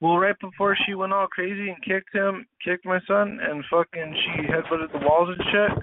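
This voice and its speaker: Speaking with an American accent and hardly any pauses, a man with a high pitch keeps a fairly even intonation. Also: moderate pace. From US West and Detroit. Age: 30s. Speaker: participant in a live audio chat room. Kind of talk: casual chat. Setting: online voice chat room.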